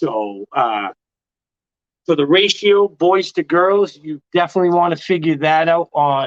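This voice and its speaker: Loud and high-pitched, a man speaks at a fairly slow pace with lively intonation in a dry, close sound with no echo. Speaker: ball python breeder hosting a livestream. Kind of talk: casual livestream chat. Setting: live stream.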